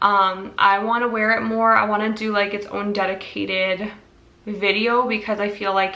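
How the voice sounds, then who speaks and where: With an American accent, a woman speaks at a medium pitch in monotone, flat intonation, with audible room echo and noticeable background noise. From US Midwest, Minnesota. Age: 30s. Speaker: perfume reviewer and real estate agent. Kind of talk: casual product review vlog.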